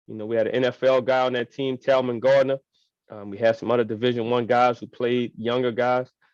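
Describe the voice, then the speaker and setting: A man with an American accent at medium pitch and a fairly quick pace, monotone and flat in intonation, with big swings in loudness and a dry, close sound with no echo. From New Orleans, Louisiana. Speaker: high school football coach. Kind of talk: interview. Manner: halting, repeats words.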